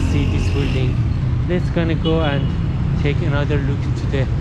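Loud noise fills the background, while the sound itself is dry, without any echo. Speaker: walking tour narrator. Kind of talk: casual vlog chat. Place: street. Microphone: phone near.

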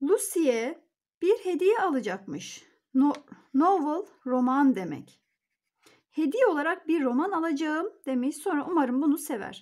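The speech moves at a fairly slow pace with very wide pitch swings. The background is quiet. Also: woman, high pitch for a woman. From Turkey. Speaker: English teacher. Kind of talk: tutorial. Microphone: phone near.

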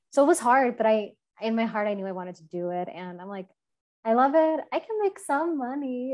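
A woman speaks at a moderate pace with a fairly high pitch and lively intonation, in an American accent. The background is quiet. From Chicago. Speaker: bird conservationist; panelist. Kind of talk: panel discussion. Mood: warm, personal, reflective. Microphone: video call.

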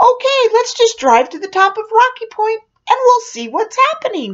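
A woman uses a put-on character voice with an extremely high pitch and a sing-song, cheerful tone. She speaks at a moderate pace. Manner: cheerful, sing-song.

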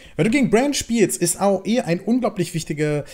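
With lively intonation, a man talks at an even, moderate speed. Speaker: gaming video creator. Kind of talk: gameplay commentary. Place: home room.

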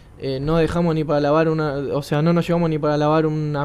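The speaker has a Rioplatense accent. The pace is very fast. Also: man. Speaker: futsal player. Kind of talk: interview.

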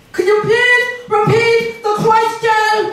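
Extremely high and monotone with flat intonation, this put-on character voice moves at a fairly slow pace over light background noise. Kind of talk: stand-up comedy routine. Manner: slow, dim-witted.

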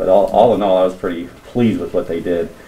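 The pace is very quick. It is a man talking. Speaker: teacher in staff meeting. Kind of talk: meeting report. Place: classroom. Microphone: camera far.

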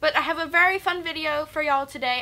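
A woman uses a raised, projected voice. She keeps a moderate pace. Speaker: book vlogger. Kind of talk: casual vlog chat. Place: home room.

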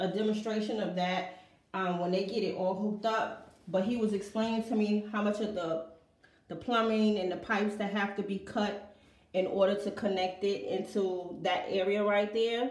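Audible room echo surrounds a woman who speaks at a fairly slow pace with fairly even intonation. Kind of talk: casual vlog chat. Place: bathroom. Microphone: phone near.

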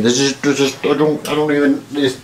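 With clear music in the background, a man speaks at a fairly quick pace and medium pitch. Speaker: vlogger. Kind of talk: casual talk to camera. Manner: enthusiastic. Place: home room.

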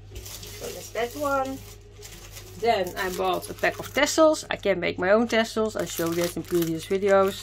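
A woman speaks at a moderate pace with a Dutch accent, with light background noise behind her. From Netherlands. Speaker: craft youtuber. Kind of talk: product haul video. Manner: hesitant, many fillers. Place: home room.

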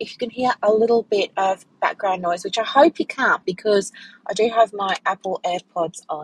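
A woman at a moderate pace with ordinary pitch variation and a dry sound with no echo. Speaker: podcast host. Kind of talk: casual podcast chat. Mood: relaxed, warm, chatty. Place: car. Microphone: earbuds.

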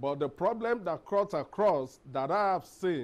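A man talks at a very slow pace with a high pitch. His pitch swings very widely. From Nigeria. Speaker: company founder, employer; guest. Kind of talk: panel discussion. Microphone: lapel.

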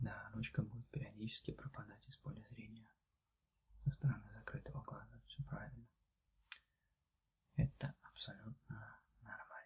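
A soft-spoken man talks with long, frequent pauses and big swings in loudness. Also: moderate pace. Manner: soft, quiet ASMR doctor voice. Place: home room.

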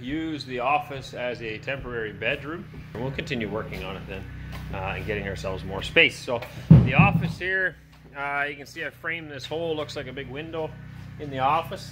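Over music in the background, a man speaks at a moderate pace with ordinary pitch variation. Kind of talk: casual vlog chat. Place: home room. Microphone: phone near.

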